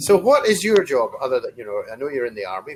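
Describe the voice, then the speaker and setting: Noticeable background noise sits behind a man's voice. His pitch swings very widely. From Scotland. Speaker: online English tutor. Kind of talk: casual conversation lesson.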